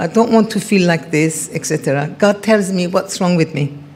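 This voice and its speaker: Moderate in pace, a woman is talking. Noticeable background noise sits behind her. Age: 70s. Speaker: event speaker. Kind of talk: testimony. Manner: halting.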